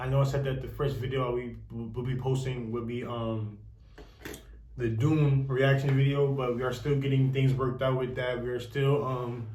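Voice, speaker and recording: A man at medium pitch speaks at a moderate pace. His intonation is monotone and flat, with audible room echo. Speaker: youtuber discussing a tv series. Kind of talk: casual commentary to camera. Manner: halting, many fillers.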